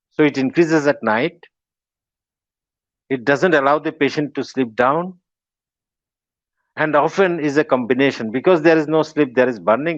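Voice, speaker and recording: Against a quiet background, a man with a Bengali accent speaks at moderate pace, his fairly high voice showing ordinary pitch variation. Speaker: professor of medicine. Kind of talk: lecture. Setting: webinar.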